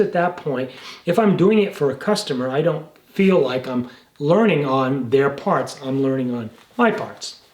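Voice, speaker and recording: A man's fairly high voice at a moderate pace, with very wide pitch swings over noticeable background noise. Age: 70s. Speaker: jeep restorer and gunsmith. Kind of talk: casual vlog talk to camera. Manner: halting, repeats words.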